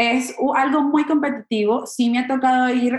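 A woman is speaking. Her pace is fairly slow. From Venezuela (Maracay). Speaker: comedian and actress. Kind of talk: interview conversation.

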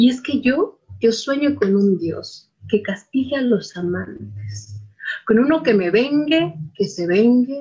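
In a dark, mellow tone that is somewhat breathy, a woman talks at a very slow pace with lively intonation. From Mexico City, Iztapalapa. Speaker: storyteller and poet. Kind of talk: interview; storytelling.

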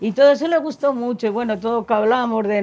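A woman's very fast speech in a dark, mellow tone with ordinary pitch variation. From Spain, Salamanca province (Gallegos de Argañán). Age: 70s. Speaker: elderly villager interviewee. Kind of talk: casual interview.

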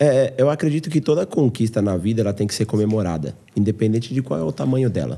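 A man races along at a very fast pace with hardly any pauses, his pitch swinging very widely. His tone is dark and mellow, with vocal fry. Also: medium pitch for a man. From interior of São Paulo state, Brazil. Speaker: podcast host. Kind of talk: casual interview chat. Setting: host's home.

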